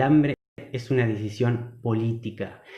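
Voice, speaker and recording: Medium-pitched male speech at a fairly slow pace, ordinary pitch variation, and audible room echo. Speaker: agronomist and food producer. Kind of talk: online talk.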